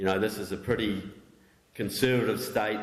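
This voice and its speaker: In a room with audible echo, a man with a New Zealand accent talks at a fairly low pitch. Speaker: author and political researcher. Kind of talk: public talk.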